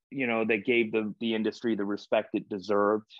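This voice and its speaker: An ordinary speaking voice from a man, fairly low in pitch and fairly quick in pace, with a dry sound, no echo and a quiet background. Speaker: guest. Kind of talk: interview answer. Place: home room. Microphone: video call.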